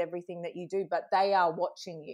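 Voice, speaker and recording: A woman speaks at a very fast pace with an Australian accent. The background is quiet. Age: 40s. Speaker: social media coach. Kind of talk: casual interview.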